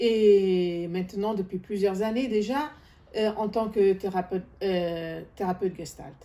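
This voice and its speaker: A woman speaks at a fairly slow pace in a medium pitch. Her tone is dark and mellow. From third culture kid, grew up abroad. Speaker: gestalt therapist. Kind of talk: self-introduction. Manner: halting, many hesitations.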